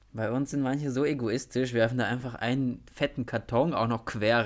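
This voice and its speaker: Moderately paced, a man at a medium pitch speaks with fairly even intonation in a very clean recording with a silent background. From small town in Germany. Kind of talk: casual chat. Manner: mumbling.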